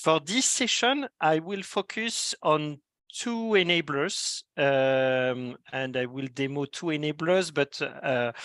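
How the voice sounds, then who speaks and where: Speaking with a strong French accent, a man talks at a very slow pace with hardly any pauses, a fairly high pitch and lively intonation, in a dry, close sound with no echo. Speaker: solutions architect. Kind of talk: technical presentation. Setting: video call. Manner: hesitant, many fillers.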